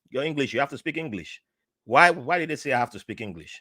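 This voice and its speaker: A man speaks very fast in an animated tone, his voice bright and sharp with vocal fry. The sound is dry and close, with no echo. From Nigeria. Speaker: podcast guest, navy veteran. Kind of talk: interview conversation.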